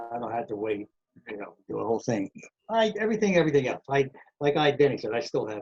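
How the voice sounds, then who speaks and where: Captured with a dry, close sound with no echo, a man speaks at a very fast pace in a somewhat breathy, fairly high voice, with very wide pitch swings and big swings in loudness. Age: 80s+. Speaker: professional trumpet player. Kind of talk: interview storytelling.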